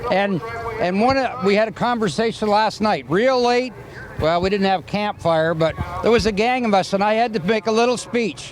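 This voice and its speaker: Delivered at a moderate pace with ordinary pitch variation and very even loudness, the speech has noticeable background noise. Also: man, high pitch for a man. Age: 70s. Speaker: drag racer. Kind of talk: trackside interview.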